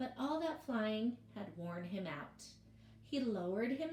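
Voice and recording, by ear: Lively intonation runs through the reading. The voice reading aloud is natural.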